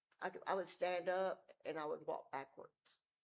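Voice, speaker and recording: A woman with a Mississippi accent, at a moderate pace. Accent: US Southern (Mississippi). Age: old. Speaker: member of the public speaking at meeting. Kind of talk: public comment. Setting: city council meeting. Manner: halting.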